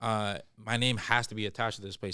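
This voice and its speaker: A man with a Toronto accent has a fairly low pitch and a bright, sharp tone. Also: very clean recording, silent background. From Toronto (Scarborough/East York), Canada. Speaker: stand-up comedian. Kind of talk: casual chat. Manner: animated.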